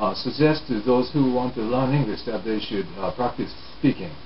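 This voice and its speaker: Against noticeable background noise, a man with a Japanese accent talks at a fairly quick pace. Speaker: English learning teacher. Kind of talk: talk to camera on language learning.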